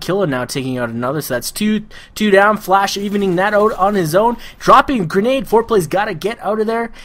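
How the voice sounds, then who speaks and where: A man's enthusiastic, high-pitched voice rises and falls in very wide pitch swings. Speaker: MLG shoutcaster. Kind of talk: live video game shoutcasting commentary. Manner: fluent, enthusiastic play-by-play.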